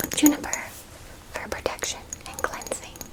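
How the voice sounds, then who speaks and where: Noticeable background noise runs under a whisper with a gentle tone. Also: woman. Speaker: ASMR roleplay performer playing a forest druid. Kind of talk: ASMR roleplay, educational history talk. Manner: whispered, gentle, soft-spoken.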